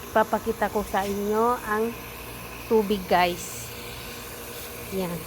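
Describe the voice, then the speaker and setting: A woman's medium-pitched, monotone voice at a very slow pace, with long, frequent pauses and noticeable background noise. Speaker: vlogger. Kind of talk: casual vlog tour. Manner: halting Tagalog.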